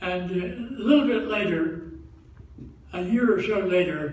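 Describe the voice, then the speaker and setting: Noticeable background noise sits behind a man speaking very slowly in a high pitch. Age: 80s+. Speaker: Salvation Army officer. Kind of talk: spoken testimony to congregation. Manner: hesitant.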